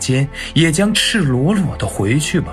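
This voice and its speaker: Over music in the background, a man with a fairly high pitch speaks at a very slow pace with very wide pitch swings. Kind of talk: sleep poetry reading. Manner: soft, slow, intimate.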